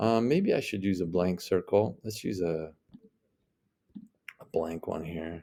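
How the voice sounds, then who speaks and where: Speaking at a fairly slow pace with long, frequent pauses, a man uses a very deep, low pitch and a dark, mellow tone, with ordinary pitch variation. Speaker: math teacher. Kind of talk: tutorial. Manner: hesitant fillers.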